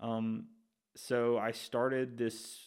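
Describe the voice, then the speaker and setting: With an Alabama accent, a man talks at medium pitch. His intonation is monotone and flat. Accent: Southern US (Alabama). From Alabama, Shelby County. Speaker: sports podcast host. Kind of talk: casual intro monologue.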